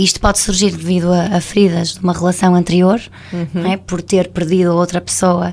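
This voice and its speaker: This woman's pitch is fairly low, and she speaks at a moderate pace. Her intonation is monotone and flat. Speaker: couples therapist, radio guest. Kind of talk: radio interview explanation.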